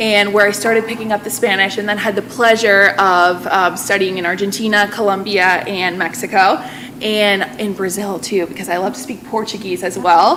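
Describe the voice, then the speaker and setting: Speaking with an American accent, a woman talks at a moderate pace with hardly any pauses. Her medium pitch has fairly even intonation over noticeable background noise. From central Massachusetts. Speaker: Spanish teacher. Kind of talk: presentation to a school committee.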